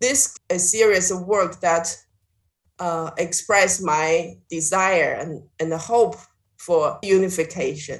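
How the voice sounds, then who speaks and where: A woman with a Chinese accent speaks at a very slow pace. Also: medium pitch for a woman, ordinary pitch variation. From China. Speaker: visual artist. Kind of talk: interview. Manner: halting, with fillers.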